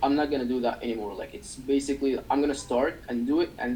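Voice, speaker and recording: A man with a non-native accent talks at a fairly quick pace in a dark, mellow tone. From developing country. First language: not English. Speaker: agency owner. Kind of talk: interview. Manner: halting.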